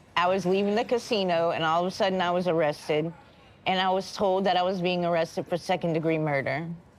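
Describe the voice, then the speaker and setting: Spoken very fast with an American accent, the voice keeps fairly even intonation and very even loudness. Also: woman, fairly low pitch for a woman. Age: 40s. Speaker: jail inmate. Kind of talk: documentary interview. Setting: in jail.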